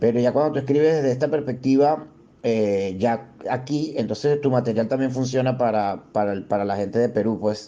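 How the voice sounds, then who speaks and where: With a dark, mellow tone and ordinary pitch variation, a man talks in a medium pitch at a moderate pace. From Venezuela. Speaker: stand-up comedian. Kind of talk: interview. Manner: halting, many repetitions.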